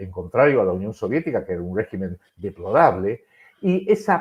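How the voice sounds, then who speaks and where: The man's pitch swings very widely while he keeps a moderate pace. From Argentina. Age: 70s. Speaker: political analyst. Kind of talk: political commentary in a live-streamed interview. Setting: online live stream. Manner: halting with frequent repetitions and self-corrections.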